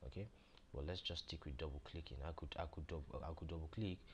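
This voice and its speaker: Some breathiness marks the voice. Pitch moves up and down an ordinary amount. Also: man. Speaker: software tutor. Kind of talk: tutorial. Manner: fast; halting, many repetitions and fillers.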